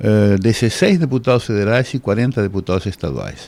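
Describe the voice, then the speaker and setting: A fairly low-pitched man with lively intonation at a moderate pace. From Uruguay. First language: Spanish (speaking Portuguese). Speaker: law professor. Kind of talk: radio interview. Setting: radio studio, simulcast on TV.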